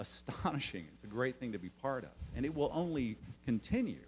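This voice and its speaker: This man has an unremarkable speaking voice. He moves at a fairly quick pace with lively intonation. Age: 50s. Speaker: theater company director. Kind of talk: public meeting testimony. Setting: city council meeting.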